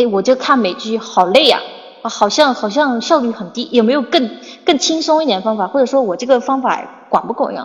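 With noticeable background noise behind her, a woman speaks fairly quickly in a high pitch with lively intonation. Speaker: English teacher. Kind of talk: livestream chat. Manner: casual, filler-heavy.

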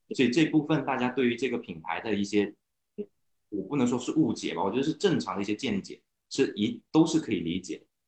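A man with an unremarkable speaking voice talks at a fairly quick pace, medium in pitch with lively intonation. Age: 30s. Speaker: car owner, internet operations worker. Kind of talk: casual chat. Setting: online meeting.

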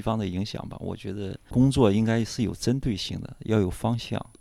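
A man in a normal speaking voice, fairly low pitched, at a moderate pace with fairly even intonation. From northern China. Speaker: artist. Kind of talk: casual interview.

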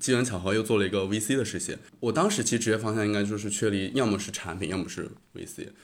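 There is audible room echo as a man with a fairly low pitch and fairly even intonation speaks at a very fast pace. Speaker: graduate student and podcaster. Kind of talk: casual chat. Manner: hesitant, many fillers.

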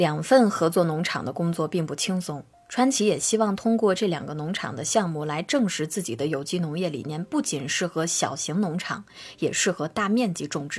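A woman speaks at a moderate pace with lively intonation and a calm tone. Her voice is somewhat breathy and fairly low-pitched. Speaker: podcast host. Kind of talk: scripted narration.

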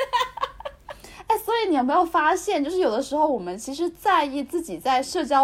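This woman's pitch swings very widely as she talks at a moderate pace. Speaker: podcast co-host. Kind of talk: casual chat. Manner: soft, low-energy.

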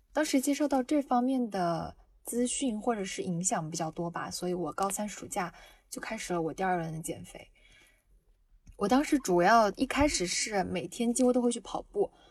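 A woman's somewhat breathy, fairly high voice with lively intonation at a moderate pace, in a very clean recording with a silent background. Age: 20s. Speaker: university student. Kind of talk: personal testimony.

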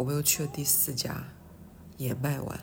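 A woman speaks with a somewhat breathy voice. The room echo is audible. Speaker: podcaster. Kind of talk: casual monologue. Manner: halting.

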